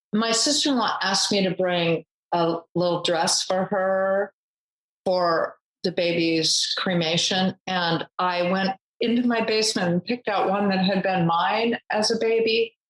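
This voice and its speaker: An unremarkable speaking voice from a woman, medium in pitch, at a fairly slow pace, with fairly even intonation, very even loudness, and a dry, close sound with no echo. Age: 60s. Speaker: photographer and charity founder. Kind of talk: interview.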